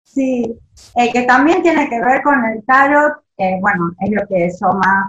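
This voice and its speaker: Fairly high-pitched, a woman speaks with lively intonation. Her pace is very slow. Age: 40s. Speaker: listener and beginner tarot reader. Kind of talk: casual chat. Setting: video call.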